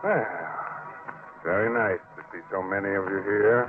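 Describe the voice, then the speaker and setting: A man speaks at a very slow pace, and music runs in the background. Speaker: radio host. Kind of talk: old-time radio horror host introduction. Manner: mocking, sardonic.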